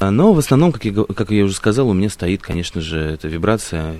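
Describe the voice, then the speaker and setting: Lively intonation marks a man's very deep, low voice at a moderate pace. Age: 20s. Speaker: radio host. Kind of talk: casual chat. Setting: open-air balcony.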